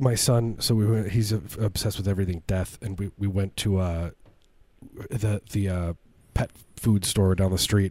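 A man talks at a moderate pace with fairly low pitch and a dark, mellow tone. The recording is very clean, with a silent background. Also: fairly even intonation. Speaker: comedy podcast host. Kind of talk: casual chat. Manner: joking, rambling.

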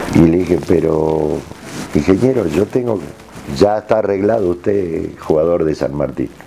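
A man speaks fairly slowly in a very deep, low voice with ordinary pitch variation, and there is noticeable background noise. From Argentina, Jujuy. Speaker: retired footballer. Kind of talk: interview.

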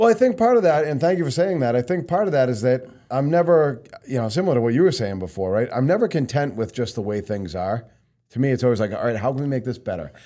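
A man with a New England accent talks very fast in a dark, mellow tone at medium pitch, his voice making very wide pitch swings in a very clean recording with a silent background. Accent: local New England. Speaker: company president and loan officer, podcast host. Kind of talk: casual interview chat.

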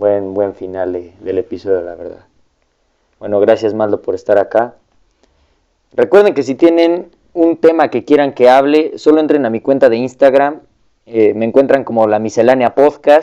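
A man's medium-pitched voice with a dark, mellow tone, lively intonation and a moderate pace. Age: young. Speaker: podcast host. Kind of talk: casual interview.

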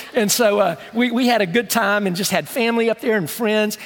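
The tone is animated. There is noticeable background noise behind the voice. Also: man. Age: 60s. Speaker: pastor. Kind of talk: sermon. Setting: church with congregation. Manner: conversational, animated.

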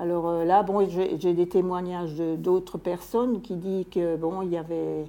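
A woman speaks at a moderate pace, her medium-pitched voice dark and mellow in tone. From Alsace, French-Swiss border. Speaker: local history collector. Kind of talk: interview. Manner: hesitant.

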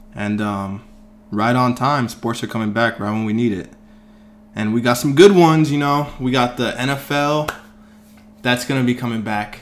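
A man of medium pitch speaks at a moderate pace with ordinary pitch variation and long, frequent pauses against noticeable background noise. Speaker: sports podcast host. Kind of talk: casual chat.

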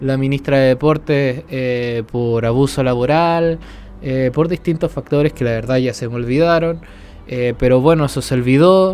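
A man's medium-pitched voice with a Chilean accent, fairly slow, with ordinary pitch variation. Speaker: podcast host. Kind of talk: casual chat. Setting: at the beach.

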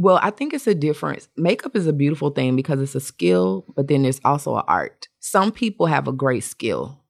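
A woman with an American accent, very deep and low in pitch, vocal fry, very wide pitch swings, a fairly quick pace and hardly any pauses. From Atlanta, US South. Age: 40s. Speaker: makeup artist. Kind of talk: casual chat.

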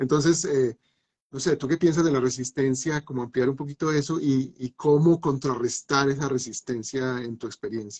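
A somewhat breathy, fairly high male voice with a Colombian Paisa accent, fairly even intonation, moderate pace and a dry, close sound with no echo. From Medellín, Colombia. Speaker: philosopher, musician and university teacher. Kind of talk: live online talk show. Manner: halting, many repetitions.

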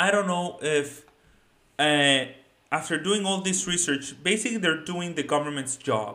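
A man with a Spanish accent talks at a moderate pace in a bright, sharp tone, fairly high in pitch with ordinary variation. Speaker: finance YouTuber. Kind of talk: solo video commentary.

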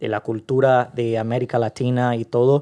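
Against a quiet background, a man with a dark, mellow tone speaks at a fairly slow pace in a dry, close sound with no echo. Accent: Portuguese. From Brazil, Rio de Janeiro. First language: Portuguese (speaking Spanish). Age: young. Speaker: podcast guest. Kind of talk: casual interview.

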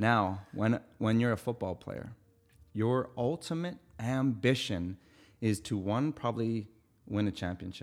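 A man with a Canadian accent and a plain, everyday voice, medium in pitch, with ordinary pitch variation, at a fairly slow pace. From Winnipeg, Manitoba, Canada. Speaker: fitness coach. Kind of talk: casual interview chat.

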